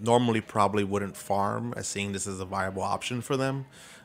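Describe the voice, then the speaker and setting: This is a man with an American accent. His pitch is fairly low. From Brooklyn, New York City. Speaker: city council member. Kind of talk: interview. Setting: studio.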